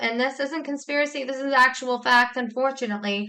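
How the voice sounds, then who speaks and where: Loud and fairly quick, a woman with an American accent speaks in a high pitch with a bright, sharp tone and fairly even intonation, on a very clean recording with a silent background. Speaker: YouTuber, commentator. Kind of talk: vlog commentary.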